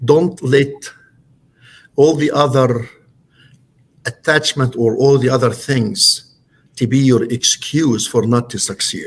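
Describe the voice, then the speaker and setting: A man's somewhat breathy voice at a very slow pace, with long, frequent pauses and ordinary pitch variation. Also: medium pitch for a man. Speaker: real estate broker and company owner. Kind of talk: podcast interview. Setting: podcast studio. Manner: halting, many fillers.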